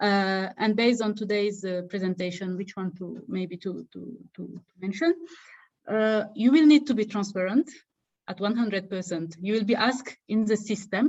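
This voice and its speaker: A woman's somewhat breathy, medium-pitched voice at a moderate pace, with big swings in loudness. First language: Wolof. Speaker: fellowship alumna and webinar co-presenter. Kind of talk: online info session Q&A. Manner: halting, repetitive fillers.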